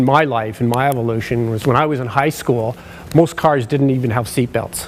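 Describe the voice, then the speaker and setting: A man with a Canadian accent at a fairly quick pace, over noticeable background noise. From British Columbia, Canada. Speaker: occupational sleep specialist. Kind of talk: conference presentation. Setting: stage with audience. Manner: loud.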